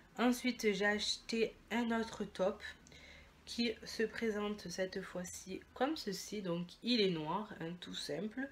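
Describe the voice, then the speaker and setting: A woman speaks at a very slow pace in a medium-pitched voice. She sounds somewhat breathy, with ordinary pitch variation. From Italy. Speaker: beauty and fashion vlogger. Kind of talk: haul video, casual chat to camera. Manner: casual, chatty with many fillers.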